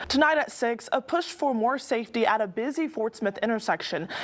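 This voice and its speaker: Over noticeable background noise, a woman with an American accent talks with lively intonation and very even loudness. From Texas, USA. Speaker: TV news anchor and reporter. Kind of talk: TV news reporter stand-up and live report.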